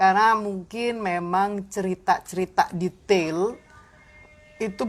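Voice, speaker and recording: A woman's medium-pitched voice with ordinary pitch variation, music playing in the background. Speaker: jazz and blues singer. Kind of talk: interview answer. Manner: casual, mixes in English.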